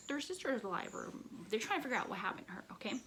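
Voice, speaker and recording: A woman speaks over noticeable background noise. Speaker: booktuber. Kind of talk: casual book review vlog. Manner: chatty, filler-heavy.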